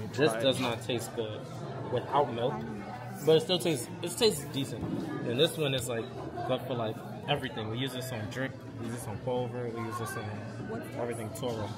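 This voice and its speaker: Loud music plays in the background. The talking moves at a fairly quick pace. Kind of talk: casual explanation to customer. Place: cafe. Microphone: phone near.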